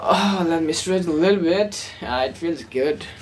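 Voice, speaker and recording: Against noticeable background noise, a woman with a non-native accent speaks with lively intonation. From Nepal, born in India. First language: Nepali. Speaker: vlogger. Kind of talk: casual vlog monologue. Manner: halting, many fillers and restarts.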